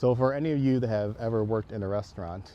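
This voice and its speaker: A man's fairly low voice with ordinary pitch variation. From southeastern Wisconsin. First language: Chinese. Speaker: school board candidate. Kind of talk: campaign video talk. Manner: casual, hesitant with fillers.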